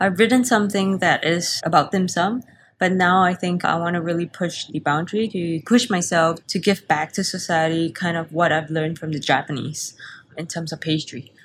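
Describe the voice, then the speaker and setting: The voice is somewhat breathy with ordinary pitch variation at a moderate pace. The recording is very clean, with a silent background. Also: woman, fairly low pitch for a woman. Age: 30s. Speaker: pastry chef and business owner. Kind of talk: interview.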